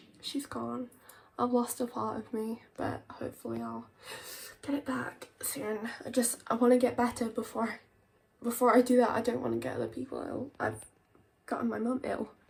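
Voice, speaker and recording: Speaking at a moderate speed, a woman talks with a British accent. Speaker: vlogger. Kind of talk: casual vlog. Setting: in bed at home. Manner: halting, hesitant.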